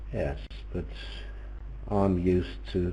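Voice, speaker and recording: A man's voice with very wide swings in pitch. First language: Danish. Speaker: bridge commentator. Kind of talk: live commentary. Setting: online voice commentary.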